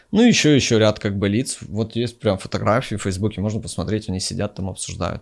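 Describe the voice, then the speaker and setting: A man with a plain, everyday voice, fairly low in pitch, with ordinary pitch variation and a fairly quick pace. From eastern Ukraine, Donetsk region. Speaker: music PR agency owner. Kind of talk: interview.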